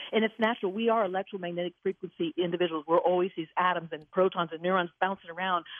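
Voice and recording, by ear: A woman speaks at a fairly low pitch with fairly even intonation. The sound is dry and close, with no echo.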